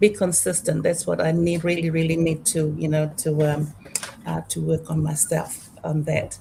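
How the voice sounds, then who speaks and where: Noticeable background noise runs through the clip. A woman speaks at a moderate pace. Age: 60s. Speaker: digital business owner. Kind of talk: casual chat. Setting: live video stream. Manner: halting.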